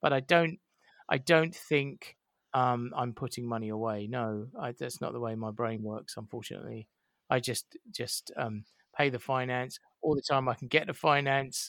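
A man with an unremarkable speaking voice talks at a moderate pace, his pitch varying in an ordinary way. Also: medium pitch for a man, dry, close sound with no echo. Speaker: independent cinema owner. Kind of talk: casual chat. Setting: video call.

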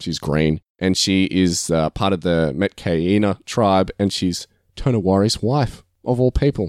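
With an Australian accent, a man talks in a very deep, low pitch with lively intonation. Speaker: podcast host. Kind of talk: casual chat. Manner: laughs often.

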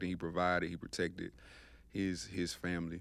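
A man with a Georgia accent speaks at a moderate pace in a very deep, low pitch on a very clean recording with a silent background. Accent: Southern US, Georgia. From US South, LaGrange, Georgia. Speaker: podcast guest. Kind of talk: casual chat.

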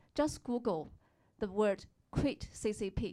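A woman's fairly high voice with a Chinese accent at a fairly slow pace, on a very clean recording with a silent background. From China. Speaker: audience member asking question.

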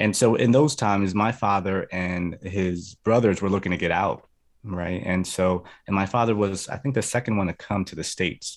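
A plain, everyday voice talks with fairly even intonation. The pace is moderate and the background quiet. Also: man, fairly low pitch for a man. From New Jersey (Atlantic City), early childhood in Colombia. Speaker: youth minister and speaker. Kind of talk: testimony. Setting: video call.

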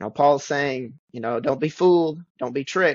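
In a Southern US accent, a man speaks with fairly even intonation. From western Kentucky. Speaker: preacher. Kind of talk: casual Bible study discussion.

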